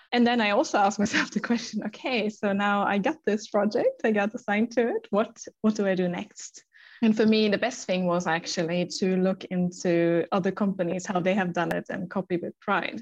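At a moderate pace and medium pitch, a woman with a German accent talks with ordinary pitch variation over a quiet background. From Germany. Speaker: sales manager. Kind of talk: interview.

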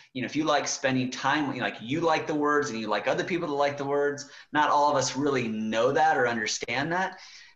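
A man with a fairly high pitch and ordinary pitch variation, talking at a fairly quick pace with hardly any pauses over noticeable background noise. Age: younger than 40s. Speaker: marketing executive and author. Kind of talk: podcast interview. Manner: casual with many fillers.

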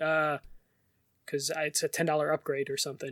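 In a Chicago accent, a man talks very fast at a fairly high pitch, monotone and flat. The recording is very clean with a silent background and a dry, close sound with no echo. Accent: Chicago American. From Chicago, US. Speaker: podcast co-host. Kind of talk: casual chat.

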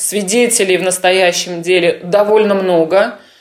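A woman speaks at medium pitch with fairly even intonation and a fairly slow pace. Noticeable background noise can be heard. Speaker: lawyer. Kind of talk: interview answers. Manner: calm.

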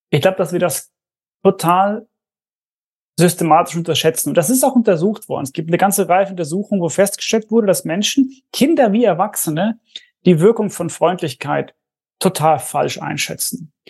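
The speech moves at a fairly quick pace with long, frequent pauses over a quiet background. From Swedish-speaking Finland, partly raised in Germany. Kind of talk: podcast interview.

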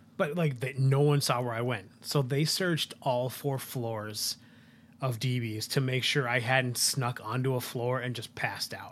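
A man with an American accent and an unremarkable speaking voice, medium in pitch, at a fairly slow pace with fairly even intonation. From US Northeast / west. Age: 30s. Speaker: podcast co-host, chef. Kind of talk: casual chat.

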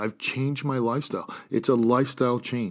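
A man talks at a fairly quick pace in a medium pitch and an unremarkable speaking voice. The recording is very clean with a silent background. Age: 40s. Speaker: podcast host and gym owner. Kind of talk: motivational solo talk.

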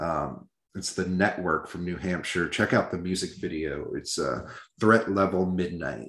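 A man with an American accent speaks very deep and low with vocal fry, at a fairly slow pace and with ordinary pitch variation. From Iowa. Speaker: metal podcast co-host. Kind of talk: casual chat.

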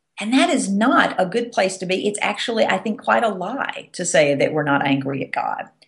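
Speaking at a moderate pace with hardly any pauses, a woman with a Southern US accent uses a medium pitch that moves through very wide swings. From US South. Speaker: Episcopal priest and author. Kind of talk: teaching talk on faith.

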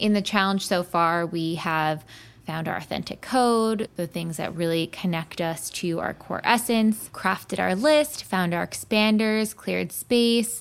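Speaking at a fairly slow pace, a woman uses an ordinary speaking voice at a medium pitch with ordinary pitch variation. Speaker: podcast host.

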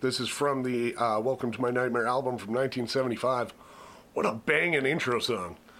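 A man with an unremarkable speaking voice talks at a moderate pace and medium pitch, keeping his intonation fairly even. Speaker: podcast host. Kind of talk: casual banter, music review podcast.

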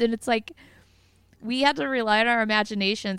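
A woman with an ordinary speaking voice talks at a medium pitch with ordinary pitch variation. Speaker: podcast panelist. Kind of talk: casual chat. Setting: VoIP call.

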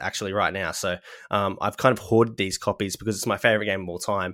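In a very clean recording with a silent background, a man with an Australian accent speaks in a bright, sharp tone. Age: 30s. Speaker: podcast host. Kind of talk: casual chat.

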